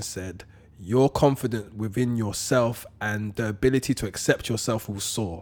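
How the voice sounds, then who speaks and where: A man with a London accent speaks at medium pitch with ordinary pitch variation. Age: 30s. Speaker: motivational speaker. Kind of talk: casual chat.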